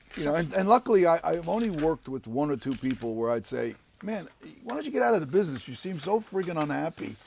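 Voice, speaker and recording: A man with an East Coast accent talks at a very fast pace. His fairly high voice makes very wide pitch swings. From US East Coast, Harlem, New York. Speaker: actor. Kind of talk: casual interview chat.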